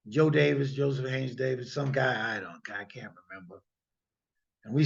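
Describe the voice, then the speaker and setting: Somewhat breathy and animated, the voice carries an American accent. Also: man. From US Midwest (Illinois). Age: 60s. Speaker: guest lecturer, lawyer. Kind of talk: lecture. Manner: animated, emphatic.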